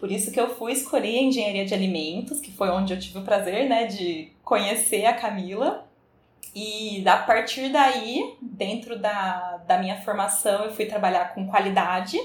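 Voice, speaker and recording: A woman's normal speaking voice at medium pitch, with ordinary pitch variation, a moderate pace, and big swings in loudness. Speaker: food engineer. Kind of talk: interview.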